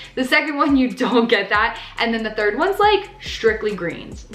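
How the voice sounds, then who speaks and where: Music plays in the background and room echo can be heard as a woman with an American accent and fairly high pitch speaks at a moderate pace. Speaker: lifestyle vlogger. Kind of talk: casual vlog talk to camera.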